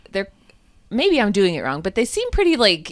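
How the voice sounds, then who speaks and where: A woman talks with a Michigan accent. Her pitch swings very widely. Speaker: podcast co-host. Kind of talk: casual chat.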